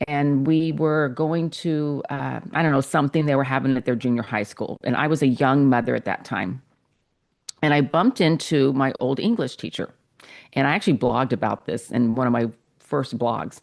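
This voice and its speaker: A woman's very deep, low voice at a moderate pace. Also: ordinary pitch variation, quiet background. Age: 60s. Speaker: novelist. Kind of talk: interview.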